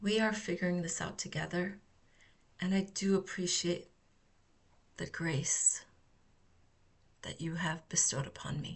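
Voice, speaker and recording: The pace is fairly slow, with long, frequent pauses. Intonation stays fairly even, and the voice is somewhat breathy. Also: woman, fairly low pitch for a woman. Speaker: therapeutic healing practitioner. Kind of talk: unscripted reflective talk. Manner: slow with frequent pauses.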